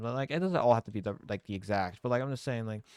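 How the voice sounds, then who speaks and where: The recording of a man is very clean, with a silent background and a dry, close sound with no echo. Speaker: YouTuber vlogging about dating. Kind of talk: casual monologue vlog. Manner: halting, many fillers and restarts.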